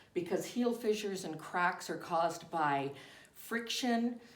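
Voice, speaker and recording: Room echo can be heard around a woman's voice. Her pitch is medium, with ordinary variation. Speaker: foot care nurse. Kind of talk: tutorial. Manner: deliberately slowed down.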